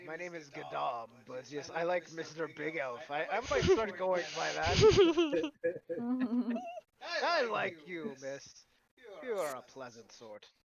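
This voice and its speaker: The speaker uses a put-on character voice at a fairly slow pace. Long, frequent pauses break up the delivery. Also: man, fairly high pitch for a man. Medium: actual play. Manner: jovial, old-fashioned turns of phrase.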